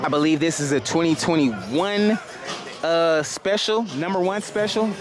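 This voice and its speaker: There is music in the background along with audible room echo. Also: man. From not from Houston. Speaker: motorcycle vlogger. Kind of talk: casual vlog walkaround. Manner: fast; animated.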